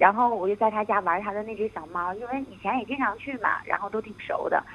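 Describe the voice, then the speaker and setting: A woman at a medium pitch, a fairly quick pace and fairly even intonation. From Northeast China. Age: 20s. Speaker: student abroad. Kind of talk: phone-in confession.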